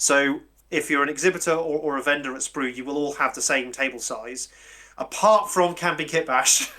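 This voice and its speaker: The speaker has a British accent, a moderate pace and ordinary pitch variation. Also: man. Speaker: convention organiser. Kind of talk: casual chat. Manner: halting.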